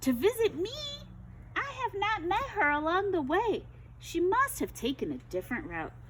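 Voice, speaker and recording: A put-on character voice at an extremely high pitch is raised and projected at a moderate pace. Clear background noise runs underneath. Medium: read story. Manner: falsely sweet, coaxing.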